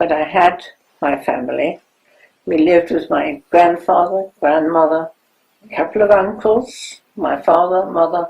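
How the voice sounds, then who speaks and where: This woman, with a German accent, talks at a fairly slow pace in a fairly low voice with ordinary pitch variation. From Germany. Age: 90s. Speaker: Holocaust survivor. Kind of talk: testimony.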